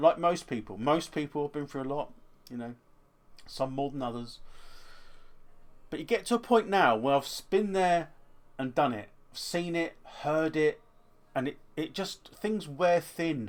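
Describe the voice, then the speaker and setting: A man with a fairly high pitch talks at a moderate pace, his intonation lively and his loudness swinging widely. He leaves long, frequent pauses, and the recording is very clean with a silent background. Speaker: eBay reseller and YouTuber. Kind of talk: casual vlog monologue. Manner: halting, self-correcting.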